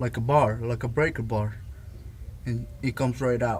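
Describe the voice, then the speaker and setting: A man does the talking. He has a non-native accent. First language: not English. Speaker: DIY car repair video maker. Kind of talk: repair tutorial. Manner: halting.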